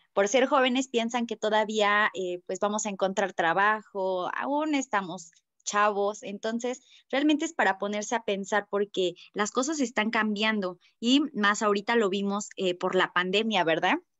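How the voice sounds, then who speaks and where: A woman with a Mexican accent speaks at a fairly slow pace and medium pitch, the sound dry with no echo and the background quiet. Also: ordinary pitch variation. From Mexico. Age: 20s. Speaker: network marketing distributor; presenter. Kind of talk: sales presentation. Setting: video call. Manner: hesitant, many fillers. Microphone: video call.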